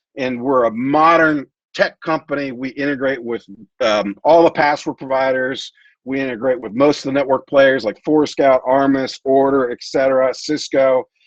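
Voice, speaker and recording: This man has a plain, everyday voice at a medium pitch, with fairly even intonation and a moderate pace. The sound is dry and close with no echo. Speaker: tech company CEO presenting. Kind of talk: presentation.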